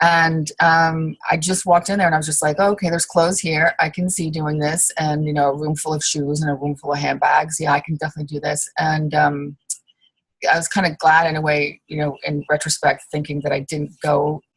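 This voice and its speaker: A woman talks at a fairly quick pace in a very deep, low voice. Her delivery is a flat monotone and somewhat breathy. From England. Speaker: costume designer and small business owner. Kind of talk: interview. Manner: hesitant, many fillers.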